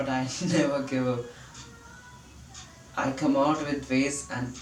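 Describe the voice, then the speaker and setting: Over music in the background and with audible room echo, a man speaks fairly slowly with fairly even intonation. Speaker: vlogger practicing spoken English. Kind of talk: video diary monologue. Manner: halting, with fillers.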